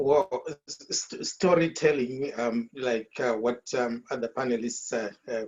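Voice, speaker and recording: The speaker talks at a fairly slow pace with a Zimbabwean accent. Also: man. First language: Shona. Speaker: author. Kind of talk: panel discussion. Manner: halting, many fillers and repetitions.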